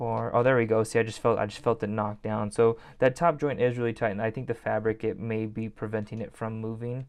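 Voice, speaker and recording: A man's medium-pitched voice at a fairly quick pace, with fairly even intonation and hardly any pauses. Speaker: toy collector YouTuber. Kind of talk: product review. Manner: fast; casual, filler-heavy.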